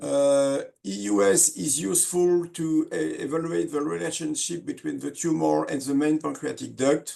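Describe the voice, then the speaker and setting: A man with a French accent speaks at a moderate pace with hardly any pauses. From France. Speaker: surgeon. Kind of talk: lecture. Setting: webinar. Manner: halting, many fillers.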